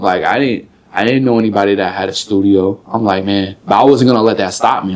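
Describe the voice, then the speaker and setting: The man talks at a fairly quick pace in a normal speaking voice. His pitch is fairly low and his intonation fairly even. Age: 20s. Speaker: rapper. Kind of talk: interview. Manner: casual, filler-heavy.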